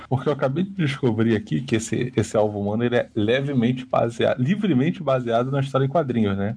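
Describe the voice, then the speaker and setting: Rushing at a very fast pace with hardly any pauses, a man of medium pitch speaks with lively intonation in a somewhat breathy, dark, mellow tone. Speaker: podcast co-host. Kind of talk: casual chat.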